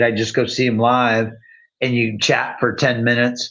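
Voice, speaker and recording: A quiet background behind a man's voice. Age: 60s. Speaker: livestream host. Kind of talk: casual chat. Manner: halting.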